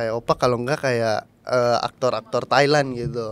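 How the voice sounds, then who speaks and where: A man with a slight East Javanese accent speaks at a moderate pace on a very clean recording with a silent background. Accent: East Javanese medok accent, slight. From Indonesia, Surabaya (East Java). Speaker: host, influencer. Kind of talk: casual chat.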